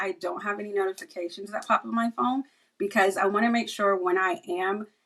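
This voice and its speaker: Using ordinary pitch variation, a woman speaks at a medium pitch. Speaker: cybersecurity professional. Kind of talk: podcast interview. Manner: fast.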